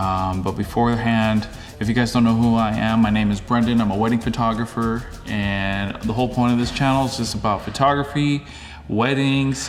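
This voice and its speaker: The man speaks at a fairly quick pace. There is audible room echo and noticeable background noise. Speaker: wedding photographer and vlogger. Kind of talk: casual vlog.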